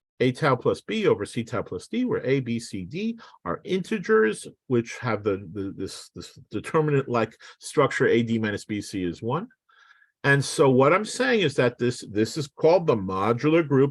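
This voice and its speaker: Against a quiet background, a plain, everyday voice speaks with lively intonation. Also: man. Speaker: physicist. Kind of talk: lecture. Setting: online seminar.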